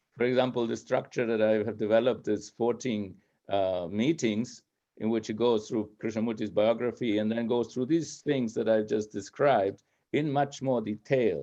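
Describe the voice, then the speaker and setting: Against a quiet background, the voice has a dark, mellow tone, a moderate pace and fairly even intonation. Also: man, medium pitch for a man. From Spain. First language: Spanish. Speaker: speaker on philosophy. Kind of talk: talk with Q&A dialogue.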